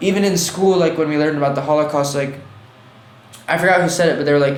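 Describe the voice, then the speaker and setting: Amid noticeable background noise and audible room echo, a man talks at a very fast pace. His pitch is fairly high, with fairly even intonation. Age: 20s. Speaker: artist and fashion designer. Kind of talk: casual chat.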